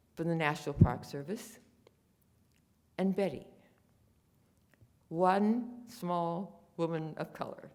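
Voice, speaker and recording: A woman with a fairly low pitch speaks at a very slow pace, leaving long, frequent pauses. Her loudness swings widely, and the room echo is audible. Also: ordinary pitch variation. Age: 90s. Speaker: war home front witness. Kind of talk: conference talk.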